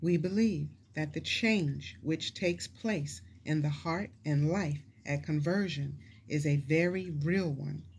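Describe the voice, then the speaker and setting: Somewhat breathy, a woman speaks at a fairly slow pace with a very deep, low pitch and ordinary pitch variation. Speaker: preacher teaching the Bible. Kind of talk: Bible teaching sermon. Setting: church service, also streamed online.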